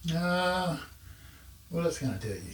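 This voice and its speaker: Somewhat breathy, a man speaks at a moderate pace. The room echo is audible. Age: 60s. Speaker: audio equipment YouTuber. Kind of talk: casual product review to camera. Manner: casual, halting with fillers.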